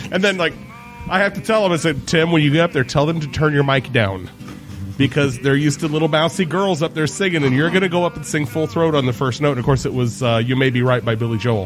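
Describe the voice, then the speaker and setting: Over noticeable background noise, a man with a fairly high voice talks at a very fast pace with lively intonation. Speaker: podcast host. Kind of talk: casual interview chat.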